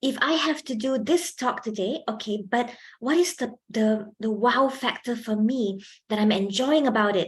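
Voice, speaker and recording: Somewhat breathy, a woman speaks at a fairly high pitch. Her pitch varies in an ordinary way. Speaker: lecturer, public speaking trainer. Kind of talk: workshop talk. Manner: animated, projecting when presenting.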